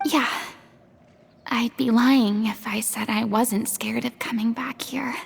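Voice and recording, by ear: Using a put-on character voice, a woman speaks slowly at a fairly high pitch with a husky, rough edge, vocal fry and fairly even intonation.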